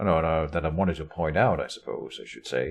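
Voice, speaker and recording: A man with a non-native accent. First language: not English. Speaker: gaming video creator. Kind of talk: let's play game commentary. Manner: casual, self-correcting.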